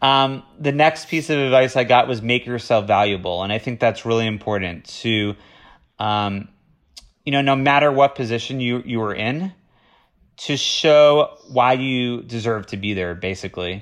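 An unremarkable speaking voice, this man with an American accent talks at a moderate pace and medium pitch with ordinary pitch variation, over a quiet background. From Florida. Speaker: TV development executive. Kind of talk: interview.

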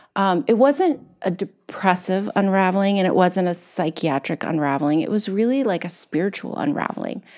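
In a very clean recording with a silent background, an unremarkable speaking voice with an American accent moves at a moderate pace with lively intonation. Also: woman, medium pitch for a woman. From Kentucky, US. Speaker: wellness coach and entrepreneur. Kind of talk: casual interview.

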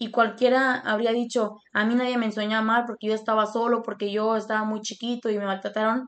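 Over a quiet background, a woman speaks at a fairly quick pace. Her pitch is fairly high, and her intonation is monotone and flat. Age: 20s. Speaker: podcast host. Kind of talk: casual interview with grandfather. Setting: call with grandfather.

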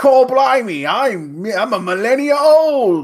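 In a Cockney accent, the speaker puts on a character voice pitched fairly high. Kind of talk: slangy, working-class. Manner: mocking, exaggerated.

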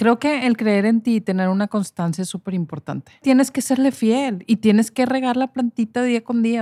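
A woman with a fairly high pitch, ordinary pitch variation and a dark, mellow tone talks at a fairly quick pace in a very clean recording that is dry and close, with no echo and a silent background. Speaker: hairstylist and podcast host. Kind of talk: casual chat.

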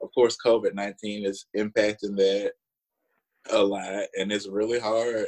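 The sound is dry and close with no echo as a man with a Southern US accent talks fairly slowly at a fairly low pitch in a monotone, flat intonation. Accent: Southern US drawl. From Alabama, US South. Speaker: assistant professor. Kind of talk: casual interview conversation. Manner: talkative.

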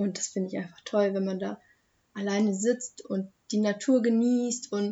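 A woman with a somewhat breathy, medium-pitched voice speaks at a moderate pace in a flat monotone. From Germany, Hochheim am Main (Hesse). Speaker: young local podcast guest. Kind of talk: casual chat.

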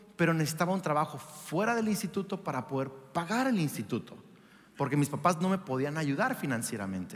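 The man has an animated tone and lively intonation. He speaks at a fairly quick pace. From Mexico. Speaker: pastor. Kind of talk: sermon. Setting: church with congregation.

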